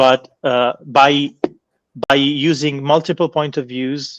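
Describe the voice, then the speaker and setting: A man with a non-native accent and fairly even intonation, in a dry, close sound with no echo and a quiet background. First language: not English. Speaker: professor of philology. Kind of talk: lecture Q&A answer. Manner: halting, with many fillers and repetitions.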